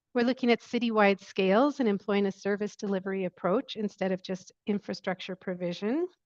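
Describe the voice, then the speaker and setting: A woman's fairly high voice with fairly even intonation, in a dry, close sound with no echo. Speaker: sanitation researcher. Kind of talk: webinar presentation. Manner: soft-spoken.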